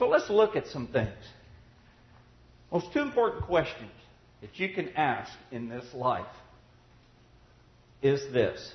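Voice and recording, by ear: In a room with audible echo, a man speaks slowly at a medium pitch, with big pitch swings and long, frequent pauses.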